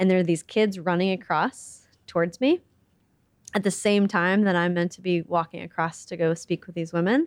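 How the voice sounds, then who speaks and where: An unremarkable speaking voice with a General American accent and fairly even intonation. The pace is moderate, and the sound is dry and close with no echo. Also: woman, fairly low pitch for a woman. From US Midwest. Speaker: charity CEO and civil engineer. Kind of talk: interview. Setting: office.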